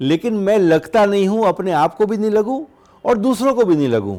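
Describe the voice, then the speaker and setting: A man with a high pitch and a dark, mellow tone speaks at a moderate pace. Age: 60s. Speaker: doctor. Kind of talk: interview.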